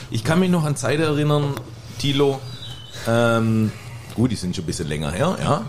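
Amid noticeable background noise and audible room echo, a man at medium pitch talks at a moderate pace with very wide pitch swings and long, frequent pauses. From Heilbronn, Germany. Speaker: bartender. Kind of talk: casual chat. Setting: stage with audience.

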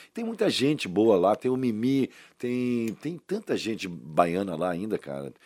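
Very wide pitch swings from a man of medium pitch, on a very clean recording with a silent background. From Brazil, Salvador (Bahia). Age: 60s. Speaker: actor. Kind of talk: casual interview. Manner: animated.

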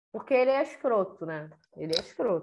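The woman keeps a moderate pace. Her pitch moves in very wide swings. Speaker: podcast co-host. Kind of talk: casual chat.

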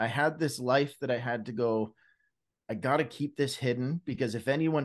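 A man with a Canadian accent speaks in a plain, everyday voice at a medium pitch and a moderate pace. His intonation is fairly even, and the background is quiet. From Canada, British Columbia and Alberta. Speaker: Celebrate Recovery leader and Bible-reading content creator. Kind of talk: casual chat, testimony.

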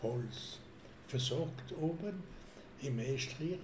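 Noticeable background noise and audible room echo fill the recording. A man is talking. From Alsace, France. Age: 80s+. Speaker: grandfather, witness of history. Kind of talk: interview. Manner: halting.

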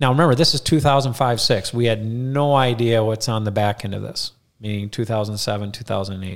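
In a very clean recording with a silent background, a man talks at a fairly quick pace in an Upper Midwest accent. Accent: Upper Midwest American. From Minnesota (Rochester). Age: 40s. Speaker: financial advisor. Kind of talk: casual interview storytelling. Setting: studio.

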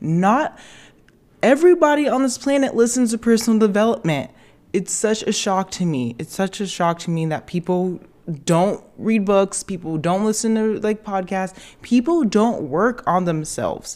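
A woman's medium-pitched voice at a moderate pace. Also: lively intonation, very clean recording, silent background. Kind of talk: pep talk. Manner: animated, emphatic and warmly hyped-up, repeating 'so proud of you'; direct, affectionate, swearing for emphasis.

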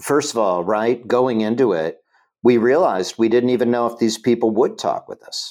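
Delivered in a normal speaking voice with an American accent, the speech moves at a moderate pace with ordinary pitch variation. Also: man, very clean recording, silent background. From Ohio. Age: 60s. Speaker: political organizer. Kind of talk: casual chat.

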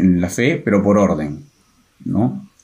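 Very wide pitch swings mark a man's speech at a very slow pace. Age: 30s. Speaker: apologetics co-presenter, audiovisual communicator. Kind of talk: casual religious discussion.

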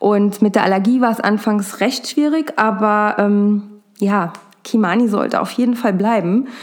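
With noticeable background noise behind her, a woman speaks at a fairly slow pace in a fairly high pitch. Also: ordinary pitch variation. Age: 40s. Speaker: cat behaviour therapist and podcast host. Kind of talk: solo podcast monologue.

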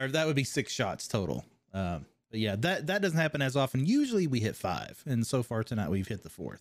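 A man with a slight Kentucky accent at medium pitch, very wide pitch swings and a fairly quick pace, on a very clean recording with a silent background. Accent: slight Kentucky twang. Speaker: podcast host and game designer. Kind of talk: casual interview chat.

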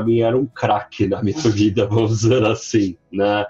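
Music plays in the background as a man talks. His pitch is medium and his pace fairly slow. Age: 30s. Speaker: marketing executive and freelancer. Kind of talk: casual chat.

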